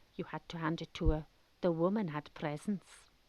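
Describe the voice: With a South West Wales accent, a woman speaks at a low pitch with ordinary pitch variation, her dark, mellow tone coming through a dry, close sound with no echo. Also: moderate pace. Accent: South West Welsh.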